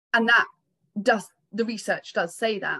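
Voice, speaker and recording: A woman speaks in a British accent with a fairly high pitch. Her tone is bright and sharp, and the sound is dry and close with no echo. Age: 50s. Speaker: psychotherapist. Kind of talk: interview on a live community call.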